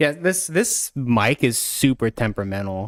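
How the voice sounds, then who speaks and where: A mumbling man at a medium pitch with ordinary pitch variation, in a dry, close sound with no echo. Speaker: gaming streamer. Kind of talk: live stream gameplay guide.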